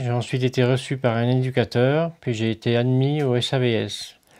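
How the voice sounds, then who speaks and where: At a fairly slow pace, a man talks in an ordinary speaking voice with a medium pitch and fairly even intonation. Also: quiet background. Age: 50s. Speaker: day service user. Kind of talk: personal testimony.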